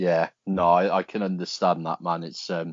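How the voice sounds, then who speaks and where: In a British accent, a man talks at a fairly slow pace. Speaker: podcast host. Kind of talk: casual interview chat. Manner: loud.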